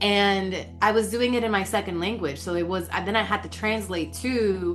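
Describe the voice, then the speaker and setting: A woman talks at a moderate pace amid audible room echo, with music playing in the background. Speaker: leadership coach. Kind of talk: podcast interview. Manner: hesitant with fillers.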